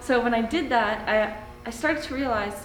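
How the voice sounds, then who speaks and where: Speaking fairly quickly in a high pitch with ordinary pitch variation, a woman with a Canadian accent is heard amid noticeable background noise and audible room echo. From Canada, Ontario. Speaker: metal artist. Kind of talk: interview explanation.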